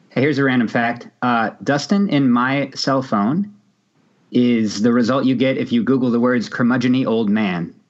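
A man's medium-pitched voice at a moderate pace, with very even loudness and ordinary pitch variation. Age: 30s. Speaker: podcast co-host. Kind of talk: casual chat. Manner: animated.

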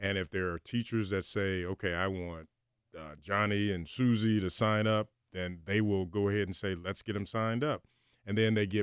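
A man's normal speaking voice, fairly low in pitch with fairly even intonation and a moderate pace, in a very clean, dry, close recording with a silent background and no echo. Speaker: retired football player and leadership speaker. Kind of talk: radio interview.

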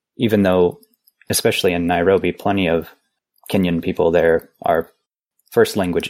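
A man's very deep, low voice in an American accent, moderate in pace, with fairly even intonation. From US, Missouri. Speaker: language researcher, conlanger. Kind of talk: casual chat.

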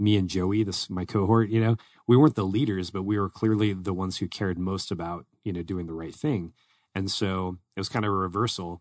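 A man with an American accent speaks at a fairly quick pace with a very deep, low pitch. His intonation stays fairly even over a quiet background. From US state outside Arizona. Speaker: podcast co-host. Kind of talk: casual chat. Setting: studio.

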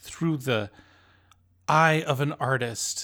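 Here a man speaks with a bright, sharp tone. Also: very clean recording, silent background. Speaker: podcast host and film reviewer. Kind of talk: casual review discussion.

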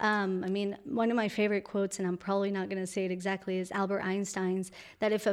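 A woman's medium-pitched voice with a Spanish accent, on a very clean recording against a silent background. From Colombia. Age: young. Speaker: entrepreneur, founder of a language school. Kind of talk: interview.

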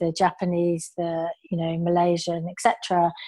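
Before a quiet background, a woman with a British accent speaks at a medium pitch in a dark, mellow tone. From England. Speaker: customer marketing manager. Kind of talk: interview conversation.

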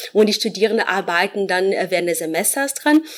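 Noticeable background noise sits behind a woman speaking at medium pitch with lively intonation. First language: Portuguese (speaking German). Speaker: professor. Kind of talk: interview. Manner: hesitant, many fillers.

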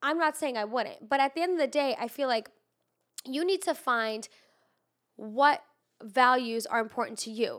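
A woman's high voice with an animated tone and ordinary pitch variation, at a moderate pace with long, frequent pauses, on a very clean recording with a silent background. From immigrant raised in Los Angeles. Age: 20s. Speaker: podcast host. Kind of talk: casual chat. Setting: studio.

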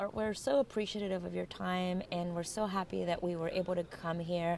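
Her pace is moderate. The woman speaks with a Spanish accent. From Colombia. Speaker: podcast co-host. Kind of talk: casual interview.

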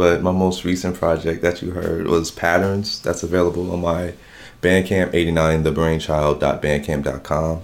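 A man speaks in a low voice with an American accent, at a moderate pace. His pitch moves very little.

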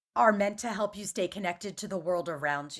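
Using an ordinary speaking voice with an American accent, a woman talks at medium pitch and a moderate pace. Her pitch variation is ordinary, and the recording is very clean with a silent background. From Philadelphia suburbs, Main Line. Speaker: writer and speaker on grief. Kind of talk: casual interview.

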